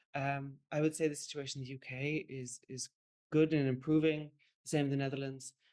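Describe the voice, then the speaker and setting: A woman's very deep, low-pitched voice in an Irish accent, fairly quick in pace and monotone, with flat intonation. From Ireland. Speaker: curator. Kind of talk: panel presentation. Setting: online panel.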